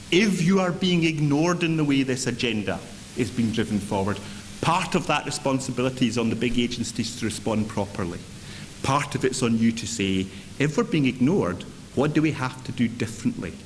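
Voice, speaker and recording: With a Scottish accent, a man speaks at a medium pitch and a fairly quick pace, his intonation lively. Noticeable background noise and audible room echo surround him. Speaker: chief executive of a local government association. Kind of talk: conference speech. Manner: energetic.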